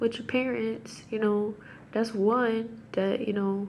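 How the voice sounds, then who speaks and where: A woman speaks at a fairly high pitch. The room echo is audible, and background noise is noticeable. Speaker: religious vlogger. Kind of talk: casual monologue on scripture. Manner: halting.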